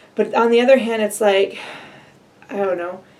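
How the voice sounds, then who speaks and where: A woman speaks at a medium pitch with ordinary pitch variation, and there is noticeable background noise. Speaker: vlogger. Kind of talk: casual vlog update. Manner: fast.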